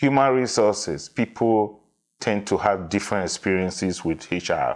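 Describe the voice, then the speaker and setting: In a Nigerian accent, a man talks with very even loudness. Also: fairly low pitch for a man, ordinary pitch variation, moderate pace. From Nigeria, Edo (midwestern). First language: Edo. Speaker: diversity consultant. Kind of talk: interview.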